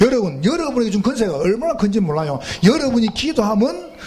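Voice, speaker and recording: A man with a strong Gyeongsang accent speaks at a fairly quick pace in an animated tone and a high pitch, with very wide pitch swings. Noticeable background noise and audible room echo surround him. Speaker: pastor. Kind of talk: sermon. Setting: church retreat with congregation.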